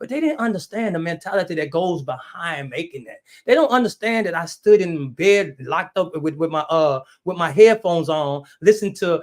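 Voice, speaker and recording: An animated man with a high pitch, lively intonation and a fairly quick pace. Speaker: entrepreneur and business coach. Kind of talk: live stream motivational talk. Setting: YouTube live stream. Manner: fast.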